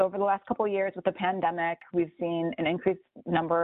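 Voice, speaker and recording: A woman's fairly low voice with an American accent at a very fast pace. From Chicago. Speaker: planner. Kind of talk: podcast interview.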